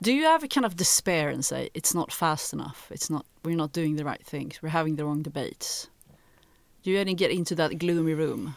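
In a very clean recording with a silent background, a woman with a Swedish accent and a very deep, low voice speaks at a fairly quick pace with ordinary pitch variation. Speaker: podcast co-host. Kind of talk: interview.

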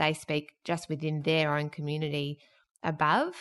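Over a quiet background, a woman with an Australian accent speaks in a very deep, low voice. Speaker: podcast host. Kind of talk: interview. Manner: laughs a lot.

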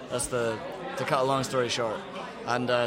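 Against noticeable background noise, a man with a Scottish accent speaks at a medium pitch. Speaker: musician. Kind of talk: casual interview.

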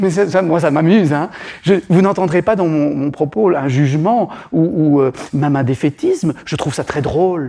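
A man speaks at a moderate pace with a fairly high pitch and ordinary pitch variation. Noticeable background noise is present. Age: 50s. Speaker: psychotherapist and author. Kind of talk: public talk. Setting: stage with audience. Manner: halting.

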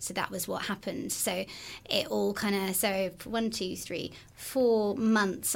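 Here a woman has a plain, everyday voice at medium pitch. She talks at a moderate pace with fairly even intonation. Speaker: podcast host, brain injury survivor. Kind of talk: casual interview.

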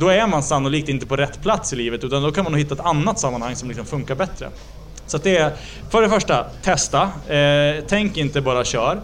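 Moving at a fairly quick pace, a man speaks at a fairly high pitch with ordinary pitch variation. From Ångermanland, northern Sweden. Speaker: politician. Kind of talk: casual interview. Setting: on location at Almedalen week in Visby.

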